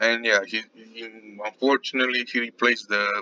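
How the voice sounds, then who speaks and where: At a moderate pace, a man speaks with fairly even intonation in an unremarkable speaking voice. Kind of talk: casual video game commentary.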